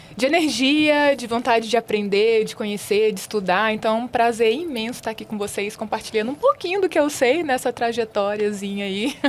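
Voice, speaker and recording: A woman at a fairly high pitch and moderate pace, ordinary pitch variation, hardly any pauses, and noticeable background noise. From Brazil, far south of Bahia. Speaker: nursing professor. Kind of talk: podcast interview.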